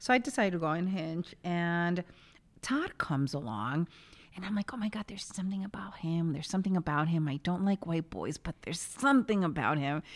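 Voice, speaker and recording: Delivered at a fairly quick pace in a New York accent, the speech has an animated tone and lively intonation. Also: woman, fairly low pitch for a woman. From New York City (West Village). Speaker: podcast co-host. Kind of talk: casual chat. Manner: animated, laughs often.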